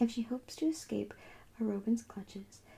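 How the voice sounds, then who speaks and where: A soft-spoken, somewhat breathy woman's voice in a relaxed tone at a moderate pace. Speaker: ASMR creator. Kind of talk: ASMR book haul talk to camera. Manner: soft-spoken, relaxed.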